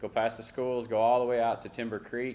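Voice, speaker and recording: A man with an American accent and a medium pitch. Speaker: city staff presenting infrastructure projects. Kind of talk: council meeting presentation. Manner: fast.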